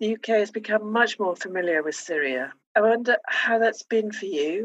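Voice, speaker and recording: This is an ordinary speaking voice with lively intonation. The pace is fairly slow. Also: woman. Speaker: podcast host. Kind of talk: interview.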